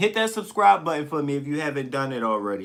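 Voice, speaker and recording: A man is shouting, loud and at a fairly quick pace. His pitch sits fairly high. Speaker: livestreamer. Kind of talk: casual live stream chat. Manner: loud, tends to yell.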